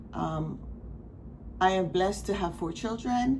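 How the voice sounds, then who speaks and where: A woman mumbling, with audible room echo. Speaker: crafting vlogger. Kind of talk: casual chat. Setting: at home, not usual spot. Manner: rambling, halting.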